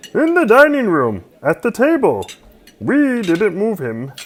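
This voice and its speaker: It is a put-on character voice with a fairly high pitch. The pace is fairly slow. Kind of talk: 1940s radio acting. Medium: old radio play.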